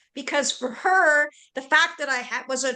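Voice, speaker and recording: A woman's raised, projected voice, high in pitch with ordinary pitch variation, at a moderate pace. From Canada, Vancouver area. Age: 60s. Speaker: webinar host and panellist. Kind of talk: conversational webinar testimony.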